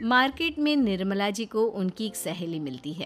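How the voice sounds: A woman's medium-pitched voice with big pitch swings and a moderate pace, over faint music in the background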